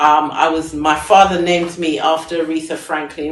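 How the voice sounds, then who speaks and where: With an English accent, the speaker talks at a fairly slow pace. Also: woman. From England. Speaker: singer and fashion designer. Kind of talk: live stream talk.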